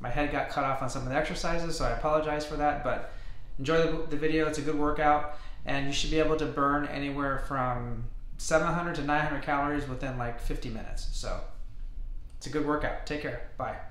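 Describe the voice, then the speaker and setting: Very fast and monotone, a man speaks with flat intonation amid audible room echo. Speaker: fitness trainer. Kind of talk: casual intro to a workout video. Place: home room. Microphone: webcam.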